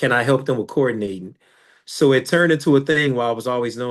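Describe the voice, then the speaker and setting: Very fast speech with an American accent and fairly even intonation against a quiet background. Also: man. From Chicago, US. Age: 40s. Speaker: filmmaker and author. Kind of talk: interview.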